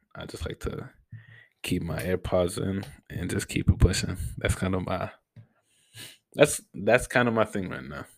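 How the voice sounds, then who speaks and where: A quiet man's very deep, low voice with vocal fry, lively intonation, big swings in loudness, a moderate pace and long, frequent pauses. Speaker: podcast host. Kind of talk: casual solo Q&A.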